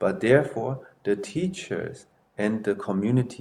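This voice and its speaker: A man talks with lively intonation. His pace is fairly slow. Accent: non-native. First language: not English. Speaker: martial arts master and temple headmaster. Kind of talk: interview.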